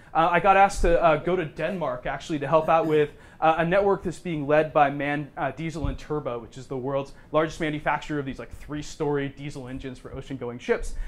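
With a plain, everyday voice, a man talks at a fairly quick pace and fairly high pitch, keeping his intonation fairly even. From Oregon. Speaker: business professor. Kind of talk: presentation. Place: meeting room. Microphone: lapel.

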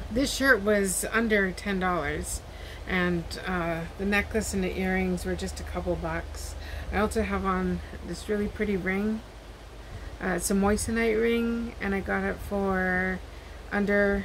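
A woman talks at a fairly slow pace with long, frequent pauses and fairly even intonation. Light background noise is present. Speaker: haul vlogger. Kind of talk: casual vlog chat. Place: home room. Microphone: webcam.

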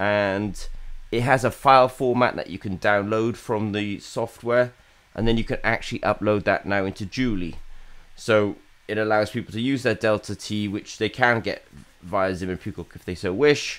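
A man with an ordinary speaking voice talks at a moderate pace, his fairly low pitch carried on fairly even intonation. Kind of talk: business vlog commentary. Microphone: webcam.

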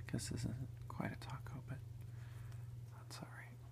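The speech moves at a fairly slow pace. Background noise is noticeable. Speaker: ASMR creator, home gardener. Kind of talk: casual talk to camera, whisper eating ASMR. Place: home room. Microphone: phone near.

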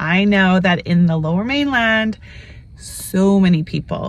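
A woman speaks at a medium pitch with ordinary pitch variation. Her pace is fairly slow.

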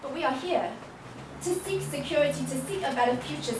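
Noticeable background noise fills the recording. A woman speaks over it at a fairly quick pace. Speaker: spoken word poet. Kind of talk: spoken word poetry performance. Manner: powerful, impassioned.

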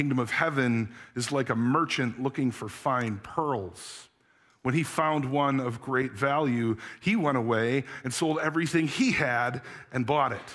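The pace is fairly slow, with ordinary pitch variation. The background is quiet. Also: man. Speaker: pastor. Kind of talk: sermon. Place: church. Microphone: headset.

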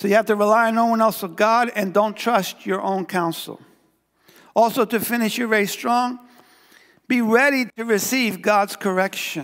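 Against a quiet background, a man with a high pitch speaks in an animated tone at a moderate pace. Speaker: pastor. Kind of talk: sermon. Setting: church. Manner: animated, call-and-response preacher; fervent, repeating phrases for emphasis. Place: church.

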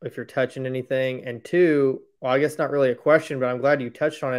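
Over a quiet background comes an unremarkable speaking voice with fairly even intonation. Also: man. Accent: American. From Indiana, US. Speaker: podcast host. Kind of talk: interview. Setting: video call. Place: home room. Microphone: webcam.

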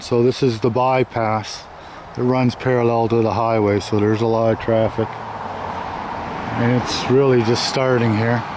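A man talks at a fairly slow pace. The sound is dry with no echo, and there is noticeable background noise. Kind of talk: casual vlog chat. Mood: relaxed, plain-spoken. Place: open country. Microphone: phone near.

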